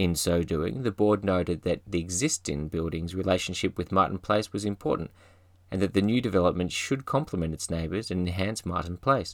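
Talking at a fairly quick pace, a man with an Australian accent has a very deep, low voice with ordinary pitch variation, recorded very cleanly against a silent background. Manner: formal, measured, dry and mock-pompous with wry gravity.

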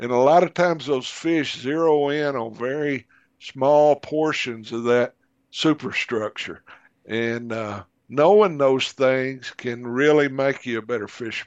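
This man talks at a fairly slow pace with a Southern US accent. His pitch is medium. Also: ordinary pitch variation. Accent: Southern American. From US South (Arkansas). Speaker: magazine editor and outdoor writer. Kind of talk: casual interview chat.

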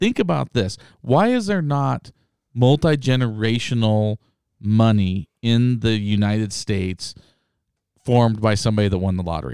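On a very clean recording with a silent background, a man talks at a medium pitch. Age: 40s. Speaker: podcast host, sales rep company owner. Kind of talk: casual chat. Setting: studio. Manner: animated.

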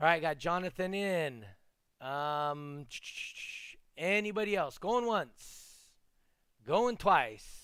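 Speaking at a very slow pace, a man with a high pitch leaves long, frequent pauses. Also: lively intonation. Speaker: podcast host. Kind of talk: live podcast chat with giveaway. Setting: live stream with online chat.

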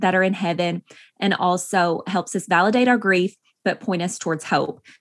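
Speaking with an East Tennessee accent, a woman keeps a moderate pace and fairly even intonation. The recording is very clean, the background silent. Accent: Southern US (East Tennessee). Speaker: author and farm wife. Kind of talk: interview.

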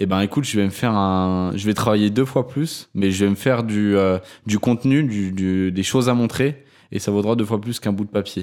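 In an ordinary speaking voice, a man talks at a fairly low pitch and moderate pace with ordinary pitch variation, on a very clean recording with a silent background. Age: 20s. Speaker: video production entrepreneur. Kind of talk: casual chat.

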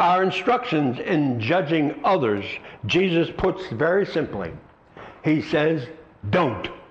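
Over noticeable background noise, a man with a fairly high voice speaks very slowly with long, frequent pauses, very wide pitch swings and very even loudness. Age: 70s. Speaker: pastor. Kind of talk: sermon. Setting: church.

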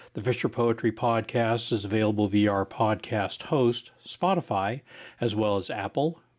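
At a moderate pace and medium pitch, a man talks in an ordinary speaking voice on a very clean recording with a silent background. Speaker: podcast host. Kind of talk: scripted podcast intro and outro.

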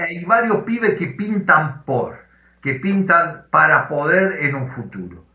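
Through audible room echo, a man with a high pitch and lively intonation speaks at a very slow pace. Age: 60s. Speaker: football journalist. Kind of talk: interview.

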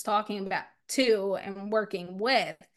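A woman with an American accent speaks in an unremarkable speaking voice at a medium pitch and fairly slow pace against a quiet background. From US Northeast (South Jersey). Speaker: entrepreneur and podcast host. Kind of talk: interview conversation.

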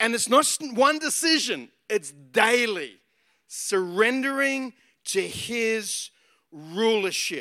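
A man with an Australian accent uses a raised, projected voice at an extremely high pitch. His tone is bright and sharp, his intonation lively, and his pace very slow. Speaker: pastor. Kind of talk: sermon.

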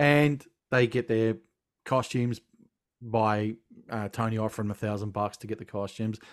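A man with an Australian accent speaks at a medium pitch and moderate pace on a very clean recording with a silent background. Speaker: film podcast host. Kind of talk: casual chat. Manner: animated.

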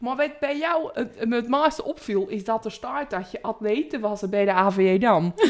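Noticeable background noise sits behind a woman's voice. Her pitch is fairly high and her intonation lively. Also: fairly slow pace. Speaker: podcast co-host. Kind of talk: casual chat.

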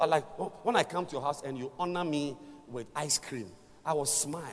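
Fairly high male speech at an even, moderate tempo, amid noticeable background noise. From Ghana. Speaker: visiting preacher. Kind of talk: sermon. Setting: church with congregation.

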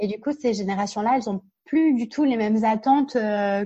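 A woman speaks at a moderate pace and a fairly high pitch, somewhat breathy with a dark, mellow tone. The sound is dry and close with no echo, against a quiet background. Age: 30s. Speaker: workplace happiness consultant and speaker. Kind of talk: interview.

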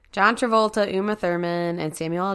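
Captured in a very clean recording with a silent background, a woman with a plain, everyday voice speaks at a fairly low pitch with ordinary pitch variation. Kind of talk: casual banter and games. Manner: joking, sarcastic, profane.

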